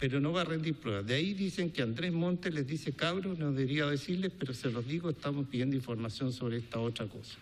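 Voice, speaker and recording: Speaking with a Chilean accent at a very fast pace, this voice has ordinary pitch variation and hardly any pauses. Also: man, fairly high pitch for a man. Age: 60s. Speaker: businessman. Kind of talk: testimony. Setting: parliamentary committee hearing.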